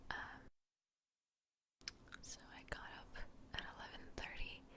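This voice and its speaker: A woman whispering at a very slow pace. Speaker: ASMR creator, student with an internship. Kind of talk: ASMR ramble, casual chat to camera. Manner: soft-spoken, whispering.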